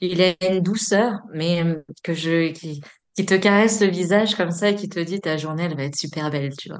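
Fairly low in pitch, a woman speaks at a moderate pace with ordinary pitch variation and big swings in loudness. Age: 30s. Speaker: energy therapist and medium. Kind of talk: casual chat. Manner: hesitant, many fillers.

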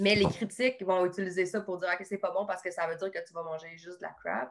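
Pitched at a medium level, a woman's plain, everyday voice shows ordinary pitch variation. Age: 30s. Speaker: nutritionist. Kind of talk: casual interview.

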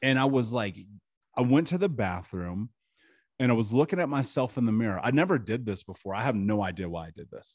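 An American man speaks at a fairly quick pace with lively intonation and a medium pitch. His loudness swings widely. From US Midwest, Indianapolis. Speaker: trauma mentor and podcaster. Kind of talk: interview testimony.

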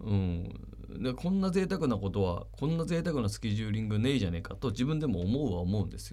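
A man's fairly low voice, very fast, with very wide pitch swings and audible room echo. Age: 40s. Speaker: radio host. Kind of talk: casual radio talk.

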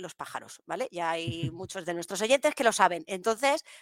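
A woman at a medium pitch and moderate pace, in a dry, close sound with no echo, on a very clean recording with a silent background. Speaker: podcast co-host. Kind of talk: casual chat. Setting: live stream.

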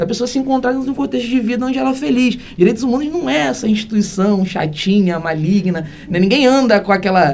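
Over noticeable background noise, a man talks at a fairly quick pace in a high voice with very wide pitch swings. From Brazil, Niterói (Rio de Janeiro state). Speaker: criminal lawyer, human rights coordinator. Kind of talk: interview.

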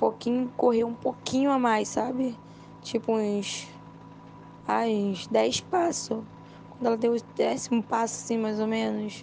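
The pace is fairly slow. Long pauses come often. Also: woman. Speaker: witness of the fire. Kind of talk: tearful testimony. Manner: distressed, breathless, tearful, recounting in panic.

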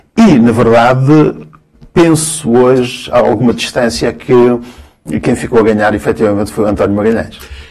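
A man with an unremarkable speaking voice, medium pitch, and lively intonation talks at a moderate pace with very even loudness. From Cabo Verde, then Angola; raised in Guimarães, Portugal from 1975. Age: 50s. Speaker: sociologist and university lecturer. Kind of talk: casual interview conversation.

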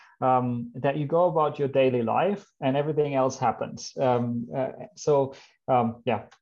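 A man with a German accent at medium pitch, a fairly slow pace and ordinary pitch variation. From Germany. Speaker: biomedical engineering professor. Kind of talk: interview. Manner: halting, many fillers.

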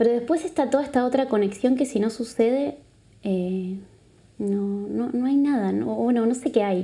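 The speaker has a Uruguayan accent and a dark, mellow tone. Delivery is at a moderate pace. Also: woman, fairly high pitch for a woman, ordinary pitch variation. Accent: Uruguayan Spanish, noticeable. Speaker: psychologist and body therapist. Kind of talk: casual interview. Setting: live recording in a venue.

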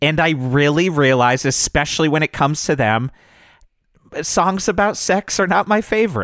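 A man with a plain, everyday voice and a fairly high pitch talks at a moderate pace with lively intonation and very even loudness, in a very clean recording with a silent background and a dry, close sound with no echo. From New England, near Boston. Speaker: podcast co-host, radio personality. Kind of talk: casual chat.

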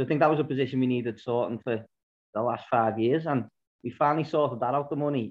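A man talks at a very fast pace. His voice sits at a medium pitch with fairly even intonation. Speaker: podcast co-host, fan. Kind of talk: casual chat.

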